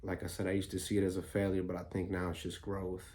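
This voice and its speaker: Audible room echo surrounds a quiet man with a very deep, low pitch and a dark, mellow tone. He speaks at a fairly quick pace, somewhat breathy, with fairly even intonation. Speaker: vlogger. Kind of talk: personal vlog monologue. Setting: at home early morning. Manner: quiet, low voice; halting, many fillers.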